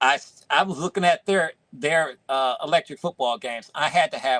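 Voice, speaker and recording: A man speaks at a moderate pace in a fairly high voice with a bright, sharp tone and ordinary pitch variation. The sound is dry and close with no echo. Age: 50s. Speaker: toy collector. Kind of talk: casual chat. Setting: live stream.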